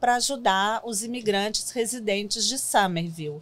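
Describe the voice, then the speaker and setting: A woman speaks in a fairly high voice. Her pitch rises and falls in an ordinary way. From Brazil, Minas Gerais (Belo Horizonte); Minas Gerais, Brazil. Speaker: city immigrant-services worker, former interpreter; guest. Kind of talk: interview. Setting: studio. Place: studio. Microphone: studio mic.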